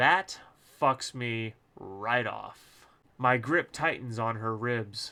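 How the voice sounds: What comes through is a natural reading voice.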